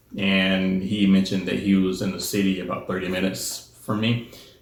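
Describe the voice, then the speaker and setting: Audible room echo surrounds a man with an American accent. His pitch is fairly low. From US South. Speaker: spiritual center president. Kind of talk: personal testimony monologue. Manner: hesitant, many fillers.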